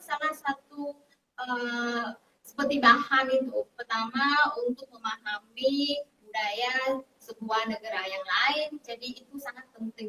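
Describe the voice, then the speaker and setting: In a Vietnamese accent, a woman with a high pitch and a bright, sharp tone projects a raised voice at a very slow pace, her loudness swinging widely. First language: Vietnamese (speaking Indonesian). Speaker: university language lecturer. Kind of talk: interview. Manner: halting, many fillers.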